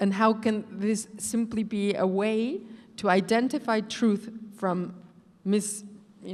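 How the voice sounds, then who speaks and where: Fairly slow speech from a woman at medium pitch, with fairly even intonation. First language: not English. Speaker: professor. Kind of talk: panel discussion.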